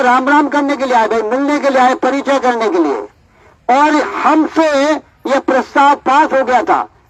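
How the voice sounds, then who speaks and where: With noticeable background noise behind him, a man speaks at an extremely high pitch with ordinary pitch variation. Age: old. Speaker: activist. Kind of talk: public speech. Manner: animated.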